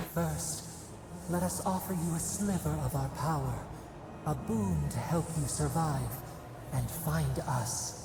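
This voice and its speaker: A put-on character voice, low in pitch, moves at a fairly slow pace, with clear echo and loud background noise. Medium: machinima. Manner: speaks as we, soft and persuasive.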